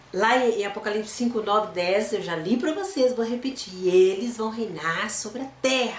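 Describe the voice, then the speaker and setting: Amid noticeable background noise and audible room echo, a woman speaks at a moderate pace with lively intonation. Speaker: Bible teacher. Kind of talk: Bible study.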